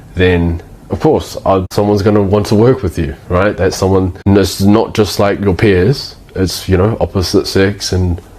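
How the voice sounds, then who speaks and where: In a New Zealand accent, a man with a very deep, low pitch speaks at a fairly slow pace with fairly even intonation. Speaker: agency owner / business coach. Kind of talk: casual talking-head tutorial. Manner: casual, with frequent false starts and fillers.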